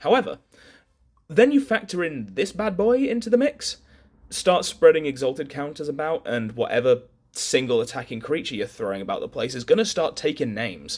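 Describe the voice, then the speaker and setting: A man talks at a fairly quick pace with a fairly high pitch and vocal fry. His pitch swings very widely. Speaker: card game content creator. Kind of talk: casual card review talk to camera.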